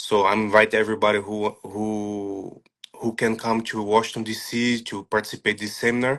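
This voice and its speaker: Speaking at a moderate pace with a non-native accent, a man uses a fairly low pitch and a monotone, flat intonation. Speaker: striking coach. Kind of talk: interview. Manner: halting.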